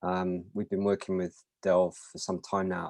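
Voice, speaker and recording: This is a man with a British accent. His pitch is fairly low. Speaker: mobile security vendor presenter. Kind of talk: webinar presentation.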